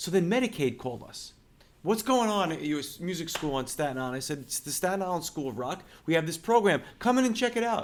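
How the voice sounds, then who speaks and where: This man talks at a very fast pace with a slight Brooklyn accent. His pitch is high, with very wide swings. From Brooklyn, New York. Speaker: music school owner. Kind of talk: interview. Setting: in person at his music school.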